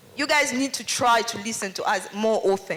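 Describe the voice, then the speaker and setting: Against noticeable background noise, a woman talks at a moderate pace. Her high voice moves in very wide pitch swings. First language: French. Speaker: audience member speaking at a festival panel. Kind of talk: public Q&A contribution.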